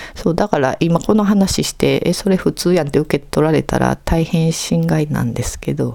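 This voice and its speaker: Moderate pace with hardly any pauses, against noticeable background noise. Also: woman. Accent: Kansai. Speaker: podcast host. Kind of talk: casual monologue.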